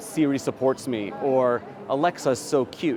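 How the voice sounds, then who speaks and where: Someone with a New York accent speaks against noticeable background noise. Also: man. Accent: New York American. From New York, USA. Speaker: HR technology strategy executive. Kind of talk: interview answer. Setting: trade show floor.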